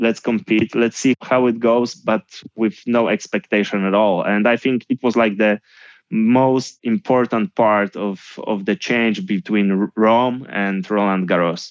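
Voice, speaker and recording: A man speaks in a Polish accent at medium pitch with ordinary pitch variation and very even loudness. The sound is dry and close with no echo, and the background is quiet. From Poland (Gdynia). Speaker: tennis coach. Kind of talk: interview.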